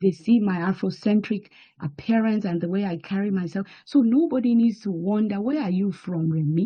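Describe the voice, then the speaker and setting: A woman with a strong Nigerian accent speaks in a somewhat breathy voice. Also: medium pitch for a woman, ordinary pitch variation, moderate pace. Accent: Nigerian accent, still strong. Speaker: banking executive and diplomat. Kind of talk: interview testimony. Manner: animated.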